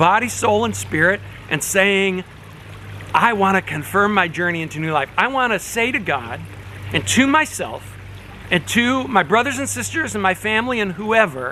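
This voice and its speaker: A man with a high pitch uses a raised, projected voice with very wide pitch swings. His pace is moderate, and there is noticeable background noise. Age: 60s. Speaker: pastor. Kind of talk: informal talk to congregation on video. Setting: outdoors by a fish pond. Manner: casual, conversational.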